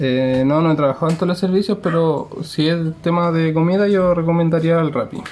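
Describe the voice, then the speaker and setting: Over noticeable background noise, a man with a Chilean accent and a high pitch speaks at a fairly quick pace, with fairly even intonation and very even loudness. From Chile, Santiago metropolitan region. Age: 20s. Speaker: delivery rider. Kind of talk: interview.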